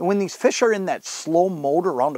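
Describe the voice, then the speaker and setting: Fairly quick, lively-intoned speech from a man, dry with no echo, over a quiet background. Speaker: fishing show host. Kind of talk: tutorial. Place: tent.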